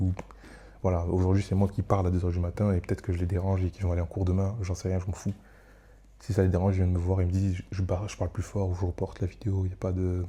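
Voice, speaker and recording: Speaking very fast, a man uses a very deep, low pitch, a dark, mellow tone, a somewhat breathy quality, and monotone, flat intonation. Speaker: solo podcaster / content creator. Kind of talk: casual monologue. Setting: at home at night. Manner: rambling, hesitant with many fillers. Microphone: close microphone.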